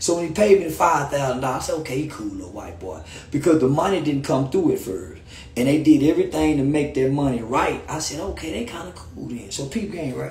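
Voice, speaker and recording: A man speaks at a fairly quick pace in an animated tone. Audible room echo can be heard. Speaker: live streamer. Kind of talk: angry rant on Instagram live. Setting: live stream, video call. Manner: animated, sarcastic, storytelling. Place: home room. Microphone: phone near.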